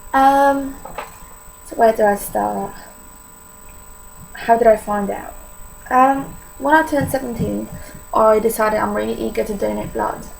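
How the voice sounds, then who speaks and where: A woman with a Polish accent speaks at a moderate pace, with big swings in loudness, long, frequent pauses and noticeable background noise. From Poland. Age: young. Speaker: vlogger sharing illness experience. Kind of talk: personal testimony vlog. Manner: casual, hesitant with many fillers.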